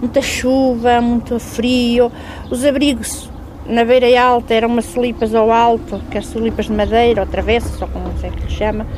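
A woman with a high pitch speaks against noticeable background noise. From central Portugal. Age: 50s. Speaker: railway level-crossing keeper. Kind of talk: interview testimony.

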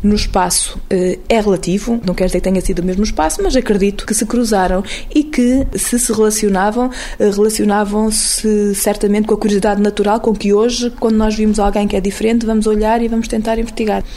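A woman with a European Portuguese accent at a fairly high pitch and fairly quick pace, with hardly any pauses, very even loudness, fairly even intonation and noticeable background noise. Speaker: anthropologist. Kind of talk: interview answer.

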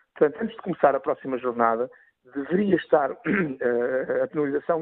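A fairly quick man with an unremarkable speaking voice and ordinary pitch variation. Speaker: former football referee. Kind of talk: radio debate interview.

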